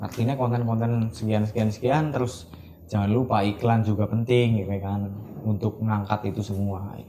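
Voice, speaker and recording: Amid noticeable background noise, a man speaks with a Central Javanese accent. His voice is fairly low, his pace moderate and his intonation fairly even. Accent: Ngapak Javanese (Kebumen). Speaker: printing business owner, CEO. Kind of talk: interview answer.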